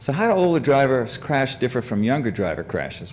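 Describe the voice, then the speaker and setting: The voice has lively intonation and vocal fry. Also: man. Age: 70s. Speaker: professor. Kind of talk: lecture. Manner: halting.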